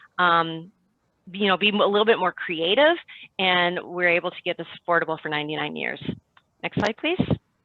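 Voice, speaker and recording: A woman with a fairly low pitch and ordinary pitch variation, at a fairly quick pace, with long, frequent pauses and big swings in loudness. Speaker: city housing program manager. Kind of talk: panel presentation. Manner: fast; animated.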